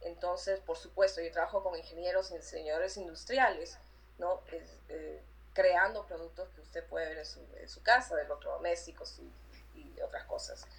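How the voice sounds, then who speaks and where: Her loudness swings widely as a woman speaks at a moderate pace. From Peru, Lima. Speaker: artist and graphic designer. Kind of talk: interview. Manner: halting, many repeated words.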